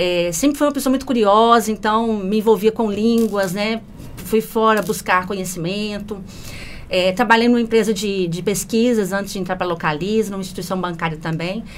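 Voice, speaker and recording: A woman speaks with a strong Minas Gerais accent and medium pitch. Noticeable background noise sits behind her. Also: ordinary pitch variation, moderate pace. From Minas Gerais, Brazil (Belo Horizonte). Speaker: customer service manager. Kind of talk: podcast interview.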